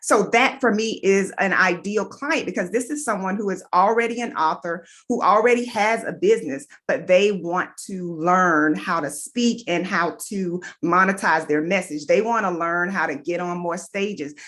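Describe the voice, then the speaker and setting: Against a quiet background, a woman with a medium pitch and ordinary pitch variation speaks at a moderate pace. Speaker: public speaking coach. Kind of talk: live stream talk.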